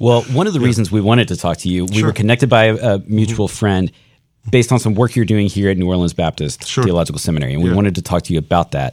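Noticeable background noise sits behind a man with a fairly low pitch. He speaks at a very fast pace with ordinary pitch variation. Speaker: podcast co-host.

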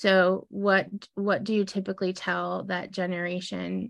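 The woman's voice sits at a medium pitch, and the background is quiet. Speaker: podcast host. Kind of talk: casual interview. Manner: animated.

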